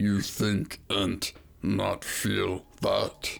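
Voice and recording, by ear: A man does a put-on character voice that sounds strained and gravelly.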